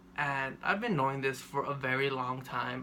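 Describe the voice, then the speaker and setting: A man speaks at a moderate pace in a fairly high pitch. His tone is bright and sharp. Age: 20s. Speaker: vlogger. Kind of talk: personal storytelling vlog. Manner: monotone; halting.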